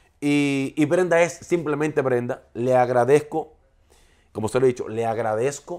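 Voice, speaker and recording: Quiet surroundings for a man speaking at a moderate speed. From Dominican Republic, Santiago; Dominican Republic. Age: 40s. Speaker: TV and radio presenter; radio presenter. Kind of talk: interview. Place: home room.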